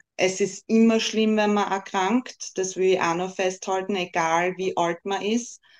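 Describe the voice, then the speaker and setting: Her medium-pitched voice stays monotone and flat as the woman talks. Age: 30s. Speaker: breast cancer patient advocate, wig stylist. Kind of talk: interview.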